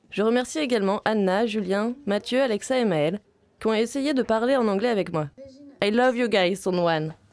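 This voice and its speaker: A woman speaks with a Vietnamese accent at a fairly high pitch. Her pitch variation is ordinary and her loudness very even. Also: moderate pace. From Vietnam, Ho Chi Minh City. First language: Vietnamese (speaking French). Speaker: film student. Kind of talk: scripted narration.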